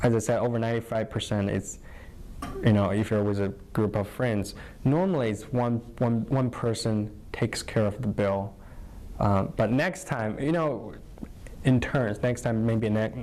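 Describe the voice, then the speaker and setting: A man with a Chinese accent talks at a moderate pace with long, frequent pauses. His medium-pitched voice shows ordinary pitch variation. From northern China. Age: 20s. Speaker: college alumnus. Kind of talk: interview. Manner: halting, many fillers.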